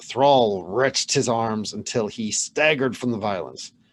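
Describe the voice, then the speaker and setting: In a very clean recording with a silent background, a man speaks at a medium pitch in a plain, everyday voice. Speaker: channel host reading a medieval saga aloud. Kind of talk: saga reading, storytelling narration.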